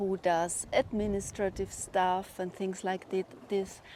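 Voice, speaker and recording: A woman with a German accent speaks at a very slow pace. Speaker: spiritual vlogger. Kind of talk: personal monologue.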